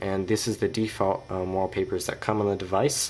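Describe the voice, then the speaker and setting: Fairly low in pitch, a man talks at a moderate pace with fairly even intonation over noticeable background noise. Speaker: tech reviewer. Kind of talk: tutorial. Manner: hesitant, many fillers.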